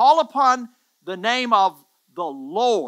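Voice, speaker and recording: A man's raised, projected voice, high-pitched, bright and sharp, with lively intonation over a quiet background. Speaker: pastor, church preacher. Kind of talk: sermon, preaching to camera. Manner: emphatic, earnest, repeating words for emphasis. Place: studio. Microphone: headset.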